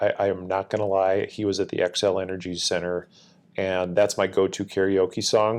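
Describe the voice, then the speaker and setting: A man's very deep, low voice with an Upper Midwest US accent, monotone and flat in intonation, at a moderate pace over a quiet background. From Minnesota (Northfield). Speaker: military command chief. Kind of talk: interview.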